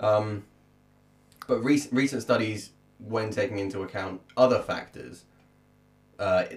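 The speaker moves at a fairly slow pace with long, frequent pauses. The voice is somewhat breathy. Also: man. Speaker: podcast co-host and musician. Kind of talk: casual chat.

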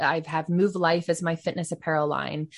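Over a quiet background, a woman speaks in a somewhat breathy, fairly low-pitched voice. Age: 30s. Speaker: former massage therapist and podcaster. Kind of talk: casual interview chat.

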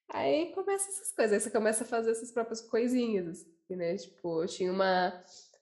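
A woman with an unremarkable speaking voice talks fairly quickly at a fairly high pitch, with lively intonation, big swings in loudness and hardly any pauses. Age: 20s. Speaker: designer. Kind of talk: casual chat.

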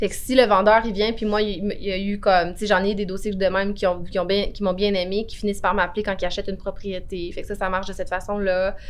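Through audible room echo, a woman of medium pitch rushes along at a very fast pace in a monotone, flat intonation with hardly any pauses. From Quebec, Outaouais (Cantley). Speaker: notary. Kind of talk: interview.

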